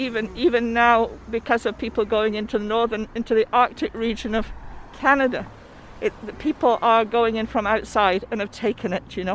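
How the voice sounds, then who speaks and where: A woman speaks with an English accent at a moderate pace. Her fairly high voice keeps a fairly even intonation. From England. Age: 70s. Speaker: rally attendee. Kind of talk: casual chat.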